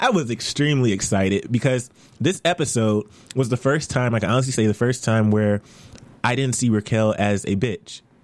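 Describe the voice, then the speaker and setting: A man speaks at a fairly quick pace in a normal speaking voice, with medium pitch, ordinary pitch variation and very even loudness. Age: 20s. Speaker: TV after-show host. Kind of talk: casual chat. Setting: studio.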